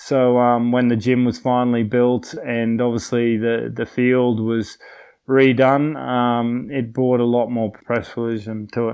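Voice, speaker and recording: With an Australian accent, a man talks at a fairly slow pace and medium pitch. His intonation stays monotone and flat. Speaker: retired rugby player. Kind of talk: interview.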